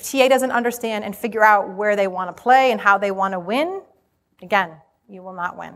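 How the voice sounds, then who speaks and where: With an American accent, a woman talks at a fairly quick pace in an ordinary speaking voice, at medium pitch with ordinary pitch variation and big swings in loudness. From Rhode Island, US. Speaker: HR conference speaker. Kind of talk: conference presentation to live audience. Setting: stage with audience.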